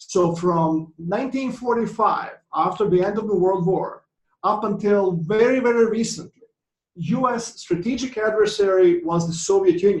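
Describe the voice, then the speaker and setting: A man with a Croatian accent speaks at a moderate pace. His pitch is high, with ordinary variation. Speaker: economics professor. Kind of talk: conference presentation. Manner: halting, many fillers.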